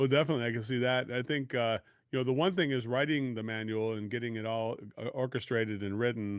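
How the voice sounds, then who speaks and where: A man with an American accent speaks very fast. His pitch sits in the medium range. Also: ordinary pitch variation. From US Midwest, Chicago area. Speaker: podcast host and sales coach. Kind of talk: podcast interview.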